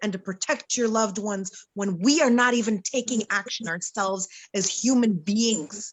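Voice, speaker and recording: Her pitch is fairly high, with ordinary variation. The woman's voice is somewhat breathy. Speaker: talk show panelist. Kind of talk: panel discussion. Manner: slow, deliberate.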